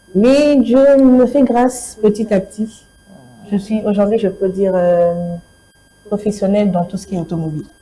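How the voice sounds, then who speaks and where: A woman's medium-pitched voice with ordinary pitch variation, a fairly slow pace and long, frequent pauses, over noticeable background noise. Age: 20s. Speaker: truck driver and motorcyclist. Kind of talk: TV interview. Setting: TV studio.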